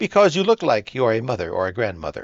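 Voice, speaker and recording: Using a put-on character voice, a man races along at a very fast pace from a medium pitch with very wide pitch swings. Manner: condescending.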